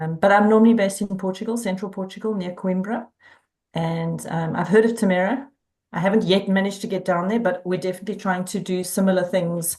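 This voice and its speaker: A woman with a South African accent, medium pitch and monotone, flat intonation at a very fast pace, against a quiet background. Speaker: community organizer. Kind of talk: casual chat.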